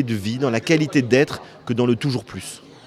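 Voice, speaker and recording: Noticeable background noise accompanies a man at medium pitch. He speaks at a moderate pace with ordinary pitch variation. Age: 50s. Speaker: author. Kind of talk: interview. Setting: hotel bar.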